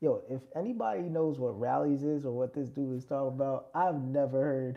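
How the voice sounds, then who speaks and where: A fairly slow delivery in a New York accent. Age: 30s. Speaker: music producer livestreamer. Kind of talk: casual livestream chat. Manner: animated; halting.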